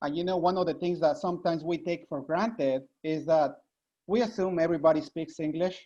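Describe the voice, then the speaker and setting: Someone with a Spanish accent speaks at a very fast pace. The background is quiet. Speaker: nurse. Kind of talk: panel discussion.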